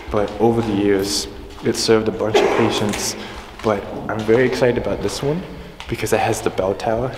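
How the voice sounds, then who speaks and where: Noticeable background noise sits behind a man's voice. He speaks very fast in a fairly low pitch, with fairly even intonation. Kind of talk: casual vlog chat. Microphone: phone near.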